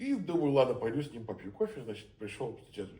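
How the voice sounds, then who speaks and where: Against audible room echo, a man with a Petersburg accent talks at a fairly quick pace with very wide pitch swings. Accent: Petersburg Russian speech. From St. Petersburg, Russia. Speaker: theatre director. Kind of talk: conversational interview. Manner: hesitant, many filler sounds.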